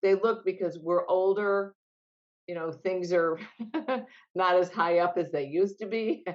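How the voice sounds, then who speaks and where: A woman with an American accent at medium pitch, a fairly slow pace and long, frequent pauses. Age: 60s. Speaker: fitness business executive. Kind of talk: interview. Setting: video call. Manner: animated.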